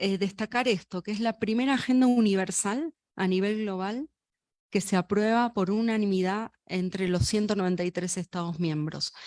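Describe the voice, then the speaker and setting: In a very clean recording with a silent background and a dry, close sound with no echo, a woman with a medium-pitched voice talks at a moderate pace with ordinary pitch variation. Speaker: UN official. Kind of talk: inaugural speech.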